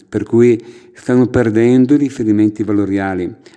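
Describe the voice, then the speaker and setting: A man speaks in a fairly low voice with a dark, mellow tone. His pace is moderate. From northern Italy, Brescia province (Orzinuovi). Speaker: parish priest. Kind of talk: casual interview. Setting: at the guest's home.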